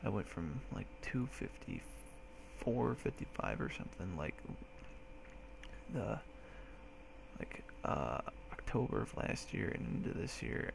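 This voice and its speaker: A soft-spoken man talks at a very slow pace, with long, frequent pauses. Background noise is noticeable. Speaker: military recruit. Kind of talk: casual talk to camera.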